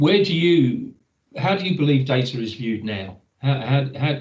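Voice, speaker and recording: Somewhat breathy and medium in pitch, a man speaks with lively intonation. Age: 60s. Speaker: webinar moderator. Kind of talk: webinar panel discussion.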